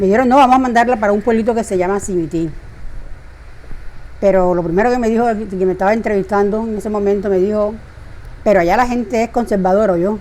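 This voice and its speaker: At a fairly quick pace, a woman with a medium pitch speaks with ordinary pitch variation over noticeable background noise. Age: 70s. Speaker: retired teacher. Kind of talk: interview. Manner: conversational, with hesitations.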